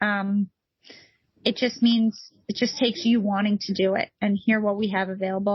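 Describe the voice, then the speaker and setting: Fairly high in pitch and somewhat breathy, a woman's voice is heard. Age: 50s. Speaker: nonprofit founder. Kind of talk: interview conversation. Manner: animated.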